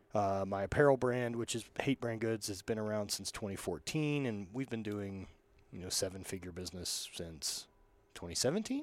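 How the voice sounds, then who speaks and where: The recording is very clean and its background silent. An ordinary speaking voice goes at a moderate pace, with ordinary pitch variation. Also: man, fairly low pitch for a man. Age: 30s. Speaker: entrepreneur and apparel company owner. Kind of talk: casual chat.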